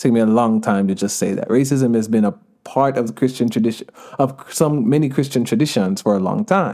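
The speaker has an American accent and a fairly quick pace. Pitch moves up and down in an ordinary way. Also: man, medium pitch for a man. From Georgia, US, Jamaican family. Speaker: author and activist. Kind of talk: casual interview.

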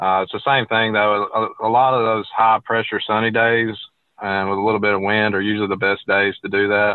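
Speaking at a fairly quick pace with a Southern US accent, a man delivers his words in a fairly low pitch with monotone, flat intonation. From Alabama. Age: 20s. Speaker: fishing guide. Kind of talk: interview.

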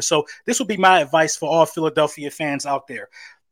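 Dry and close with no echo, the speech moves at a fairly quick pace with fairly even intonation. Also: man, very clean recording, silent background. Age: 30s. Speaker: football commentator, military veteran. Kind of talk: sports talk discussion. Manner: halting.

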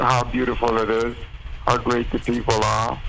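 Fairly even intonation in an unremarkable speaking voice. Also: man. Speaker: percussionist. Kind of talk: casual interview.

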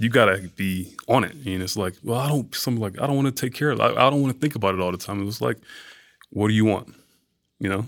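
Someone with an American accent talks at a very fast pace with ordinary pitch variation. The recording is very clean, and the background is silent. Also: man, fairly low pitch for a man. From US South, Atlanta, Georgia. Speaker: bodybuilder and fitness model. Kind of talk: casual chat.

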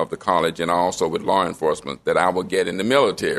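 This man speaks in a Southern US accent. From Memphis, Tennessee. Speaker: retired professor and pastor. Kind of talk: interview storytelling. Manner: warm, enthusiastic.

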